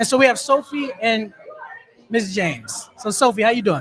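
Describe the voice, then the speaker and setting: Crowd noise fills the background. The speaker talks in a Philadelphia accent at a moderate pace. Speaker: podcast host. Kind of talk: live podcast interview. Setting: live event at a taco restaurant.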